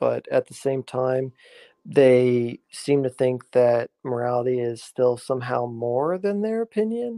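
Here a man has a plain, everyday voice at medium pitch. He speaks at a fairly slow pace with ordinary pitch variation. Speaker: YouTuber. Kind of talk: casual chat. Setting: video call.

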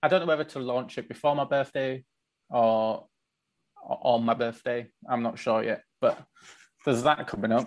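A man speaks with a Yorkshire accent. He leaves long, frequent pauses. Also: medium pitch for a man, ordinary pitch variation, moderate pace. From northern England (Leeds, West Yorkshire). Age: 30s. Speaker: artisan grooming product maker. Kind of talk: casual interview chat.

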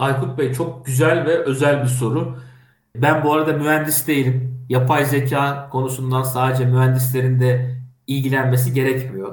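Over audible room echo, a man speaks at a medium pitch and moderate pace, somewhat breathy, with monotone, flat intonation and very even loudness. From Turkey, Kastamonu. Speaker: head of an AI policy association and TV tech show moderator. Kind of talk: interview.

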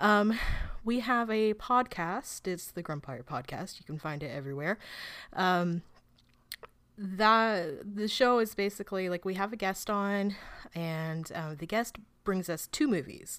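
A woman speaks at a medium pitch and a fairly slow pace, with lively intonation. It is an unremarkable speaking voice. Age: 30s. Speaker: film website editor and podcaster. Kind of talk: casual chat.

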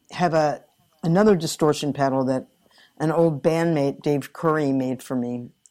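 A woman with very deep, low pitch and a dark, mellow tone speaks at a moderate pace with ordinary pitch variation, in a very clean recording with a silent background. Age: 60s. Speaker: guitarist and vocalist. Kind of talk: casual interview.

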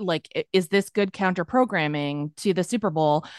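Against a quiet background and in a dry, close sound with no echo, a woman with an unremarkable speaking voice talks at a moderate pace, medium in pitch with ordinary pitch variation. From Massachusetts, near Boston. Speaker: comedy TV writer and producer. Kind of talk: casual chat.

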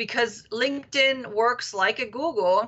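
A woman speaks with a German accent. Her pace is fairly slow. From Germany. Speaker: executive and business coach. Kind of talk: interview.

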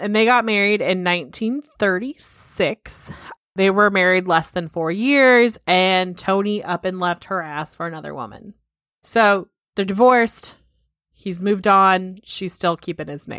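Recorded very cleanly against a silent background, a woman with an American accent speaks at a fairly slow pace, her pitch varying in an ordinary way and her loudness swinging widely. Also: medium pitch for a woman. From California. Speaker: podcast co-host. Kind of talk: casual chat.

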